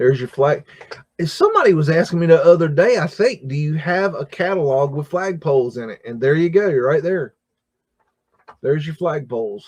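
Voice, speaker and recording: In a plain, everyday voice, a man with a fairly high pitch speaks at a fairly quick pace, with ordinary pitch variation and big swings in loudness. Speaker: livestream host. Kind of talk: casual live stream commentary. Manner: casual, filler-heavy.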